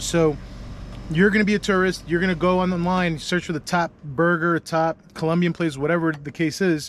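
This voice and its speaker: Fairly even in intonation, a man with a high pitch talks at a fairly quick pace. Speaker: travel vlogger. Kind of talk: casual vlog narration. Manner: casual, conversational.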